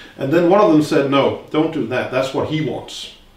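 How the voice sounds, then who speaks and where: A man at a fairly high pitch and fairly quick pace, with audible room echo and noticeable background noise. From Denmark. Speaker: interviewer, lawyer and party leader. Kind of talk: interview.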